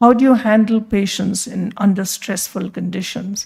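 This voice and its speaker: Her tone dark and mellow, a woman speaks in a somewhat breathy voice. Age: 60s. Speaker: physician and hospital leader. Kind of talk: conference talk.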